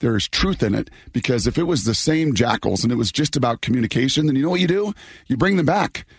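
At a very fast pace, a man speaks with medium pitch and very wide pitch swings. His voice is somewhat breathy, with very even loudness. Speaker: sports radio host. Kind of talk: casual chat. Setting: remote from hotel.

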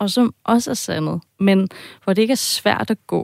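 Recorded very cleanly against a silent background, a woman speaks at a fairly slow pace and medium pitch, with a dry, close sound and no echo. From half German, half Danish. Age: 40s. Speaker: podcast editor, listener with a dream. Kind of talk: interview, personal account. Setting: radio studio.

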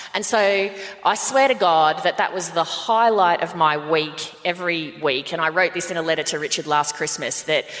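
With an Australian accent, a woman talks at a fairly low pitch with ordinary pitch variation against noticeable background noise. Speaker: podcast co-host. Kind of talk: live podcast recording, casual banter. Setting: stage with audience.

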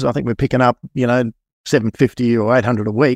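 In an Australian accent, a man speaks at a medium pitch and a fairly quick pace. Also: dry, close sound with no echo. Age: 50s. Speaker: building inspector and property investor. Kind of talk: casual interview chat.

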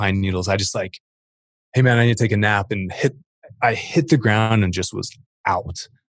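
Against a quiet background, a man speaks at a fairly quick pace in a fairly low, somewhat breathy voice with ordinary pitch variation, the sound dry and close with no echo. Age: 30s. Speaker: fitness equipment entrepreneur. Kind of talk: casual chat.

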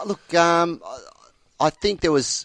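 Recorded very cleanly against a silent background, a man's voice comes across dry and close with no echo. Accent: Australian. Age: 40s. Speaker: football umpire. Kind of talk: casual chat. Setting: studio. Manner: halting.

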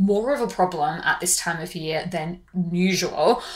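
Lively intonation from a woman in an Australian accent, medium pitch, fairly slow pace. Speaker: beauty podcast host. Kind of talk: scripted-style podcast monologue.

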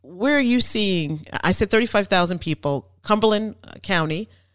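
With a New Jersey accent, a woman speaks at a very slow pace. Her medium pitch carries lively intonation. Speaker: real estate podcast host. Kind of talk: interview. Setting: remote call.

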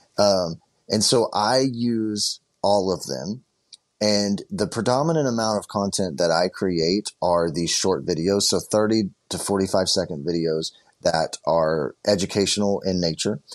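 Fairly low male voice with a Texan accent, dry and close with no echo. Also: ordinary pitch variation, fairly slow pace. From Southeast Texas. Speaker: produce farmer and social media creator. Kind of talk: interview.

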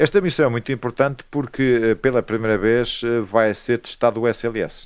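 At a moderate pace, a man with a plain, everyday voice and medium pitch speaks in a very clean recording with a silent background. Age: 50s. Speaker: astronomer. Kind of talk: interview.

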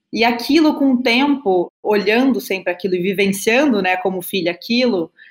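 A woman talks at a moderate pace. She has a southern Brazilian accent and ordinary pitch variation. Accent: gaúcho Brazilian Portuguese. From southern Brazil, Rio Grande do Sul. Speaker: business consultant. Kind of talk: interview.

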